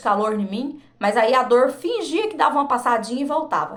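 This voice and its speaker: A woman's high-pitched, animated voice at a moderate pace, with audible room echo. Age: 40s. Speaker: vlogger. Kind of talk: personal testimony.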